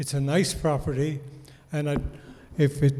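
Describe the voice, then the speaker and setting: Noticeable background noise surrounds a man whose voice sits at a fairly high pitch. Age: 80s+. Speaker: resident speaking at town meeting. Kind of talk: public comment at town meeting.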